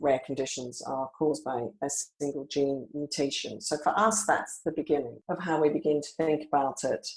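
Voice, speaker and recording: A woman with an Australian accent speaks at a moderate pace in a very deep, low pitch. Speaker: rare disease company founder. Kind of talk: podcast interview.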